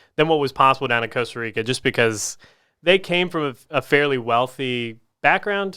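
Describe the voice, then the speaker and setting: A man with a Southern US accent talks at a fairly quick pace in a bright, sharp tone, captured in a very clean recording with a silent background. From US South, Augusta, Georgia. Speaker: physical rehab clinic owner. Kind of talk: interview. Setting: studio.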